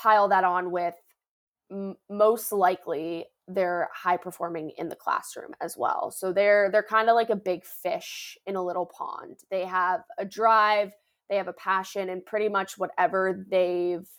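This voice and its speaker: A woman uses a normal speaking voice with an American accent. Her pace is fairly slow and her intonation fairly even. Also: very clean recording, silent background. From Northern Virginia, US. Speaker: former college athlete, podcast host. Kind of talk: interview.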